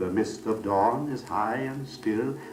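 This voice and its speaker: The speech moves at a very slow pace with music in the background. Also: man. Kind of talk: poetic monologue reading from an old radio drama recording. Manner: measured, reflective, lyrical.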